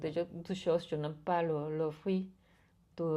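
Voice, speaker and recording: This woman has a Spanish accent. She talks fairly slowly. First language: Spanish (speaking French). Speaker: artist and bookbinding teacher. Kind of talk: interview. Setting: artist's studio. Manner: halting, many repetitions and hesitations.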